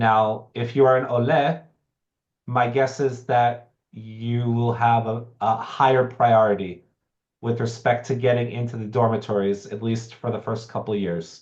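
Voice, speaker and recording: A man with an American accent, in an ordinary speaking voice, at a medium pitch and fairly slow pace with fairly even intonation. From United States. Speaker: professor. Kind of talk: online information session. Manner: conversational with fillers.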